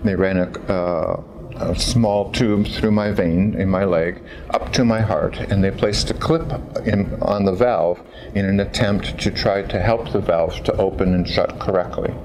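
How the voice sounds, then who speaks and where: Noticeable background noise behind a man with an American accent, at a fairly slow pace and very even loudness. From California, US. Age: 60s. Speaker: patient giving testimonial. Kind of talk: testimony. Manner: halting, with fillers.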